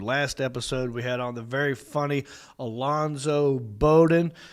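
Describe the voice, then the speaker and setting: A man speaks in a Southern US accent at a medium pitch. His pitch varies in an ordinary way on a very clean recording with a silent background. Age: 40s. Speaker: comedian and podcast host. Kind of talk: casual chat. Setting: studio.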